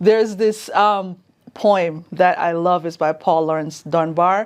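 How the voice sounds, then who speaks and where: A woman speaks at a fairly slow pace with a Jamaican accent, her fairly low pitch and fairly even intonation set against a quiet background. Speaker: communications specialist at a sheriff's office. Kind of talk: interview.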